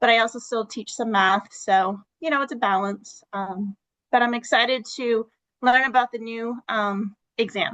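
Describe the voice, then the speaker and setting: A woman with a New England accent speaks at a moderate pace in a fairly high pitch, her bright, sharp tone and fairly even intonation captured in a dry, close sound with no echo. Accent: New England, non-rhotic. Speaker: teacher. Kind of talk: self-introduction in online workshop. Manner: hesitant, many fillers.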